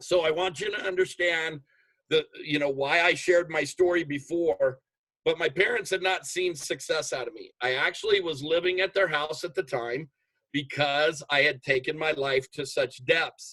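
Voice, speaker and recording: Loud and animated, a man speaks at a moderate pace with a bright, sharp tone. His pitch is fairly high, with ordinary variation. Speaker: motivational speaker, network marketer. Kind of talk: motivational talk on video call.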